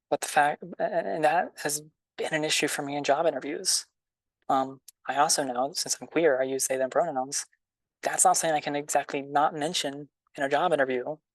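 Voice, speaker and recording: A woman's very deep, low voice at a fairly quick pace, with fairly even intonation, in a dry, close sound with no echo and a quiet background. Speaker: student panelist. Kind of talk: panel discussion. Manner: fast; loud.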